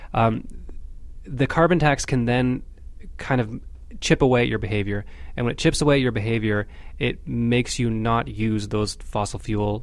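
The speaker moves at a moderate pace with ordinary pitch variation, leaving long, frequent pauses. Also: man, medium pitch for a man. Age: 30s. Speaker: journalist. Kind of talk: casual chat. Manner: halting.

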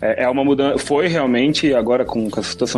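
With a plain, everyday voice, a man talks at a fairly quick pace at medium pitch with ordinary pitch variation. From Brazil, Piedade (São Paulo state). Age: 30s. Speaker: project management engineer. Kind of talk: casual chat.

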